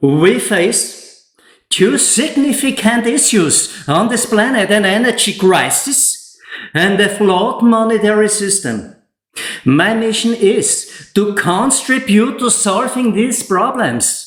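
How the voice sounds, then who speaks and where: Audible room echo surrounds a high-pitched man speaking at a very slow pace. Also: ordinary pitch variation, quiet background. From Austria. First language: German. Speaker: solar energy installer and YouTuber; YouTuber. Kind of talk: tutorial. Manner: less emotional in English than in German. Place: home room.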